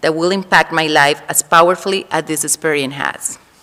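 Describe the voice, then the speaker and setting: A woman with a Spanish accent, her bright, sharp tone fairly low in pitch, her intonation fairly even and her pace fairly quick. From Colombia. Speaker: Spanish teacher. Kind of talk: farewell speech at school assembly.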